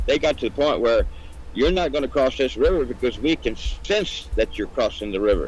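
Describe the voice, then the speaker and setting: With music in the background, a man speaks at a fairly quick pace with an American accent. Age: 70s. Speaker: blues musician. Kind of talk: casual chat. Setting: live stream interview.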